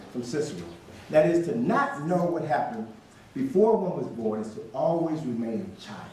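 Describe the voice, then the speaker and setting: Talking very fast with very wide pitch swings, a man with an American accent is heard amid noticeable background noise and audible room echo. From Chicago area, US Midwest. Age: 60s. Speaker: author and lecturer on African history. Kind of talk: lecture.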